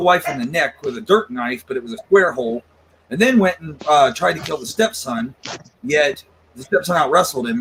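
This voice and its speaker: Speaking with lively intonation at a moderate pace, a man has an ordinary speaking voice. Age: 40s. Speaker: paranormal investigator. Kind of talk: casual chat.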